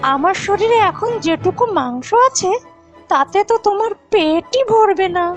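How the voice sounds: A woman uses a cartoonish character voice at an extremely high pitch, with lively intonation and a slow pace. Faint music sits in the background.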